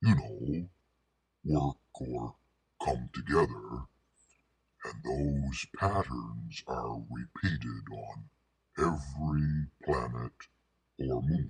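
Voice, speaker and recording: Putting on a character voice, a man talks very slowly in a very deep, low pitch, leaving long, frequent pauses. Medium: solo performance. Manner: wry, jokey, rambling.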